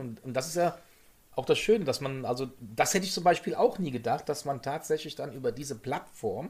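The voice moves at a fairly quick pace, with lively intonation and a somewhat breathy quality. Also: man. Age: 50s. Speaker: podcast co-host, former stream moderator. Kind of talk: casual chat.

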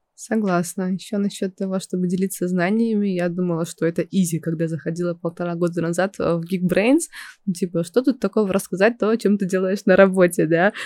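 Woman's voice in a dark, mellow tone, fairly even in intonation and fairly quick in pace, with a dry, close sound and no echo. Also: medium pitch for a woman. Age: 20s. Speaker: project manager and instructor. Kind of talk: casual chat.

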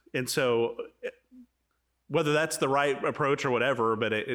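This man's moderately paced speech comes through on a very clean recording with a silent background. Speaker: podcast host. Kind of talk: casual chat. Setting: in person.

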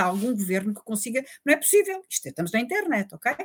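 A somewhat breathy woman's voice. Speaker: forensic doctor. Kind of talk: interview.

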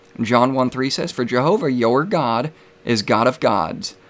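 An unremarkable speaking voice from a man, medium in pitch, with ordinary pitch variation and a moderate pace. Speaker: debate host and Trinitarian apologist. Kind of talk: live religious debate. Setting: live stream online.

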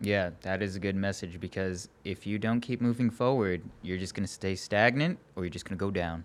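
In a very clean recording with a silent background, a man with a plain, everyday voice speaks at a fairly quick pace with hardly any pauses, his fairly low pitch moving with ordinary variation. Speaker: podcast host. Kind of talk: casual interview.

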